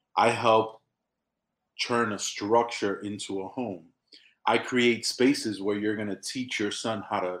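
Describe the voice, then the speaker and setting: A man speaks fairly slowly in a New York accent, his pitch fairly low. His intonation stays monotone and flat. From New York City, South Bronx. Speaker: business owner. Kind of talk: casual interview.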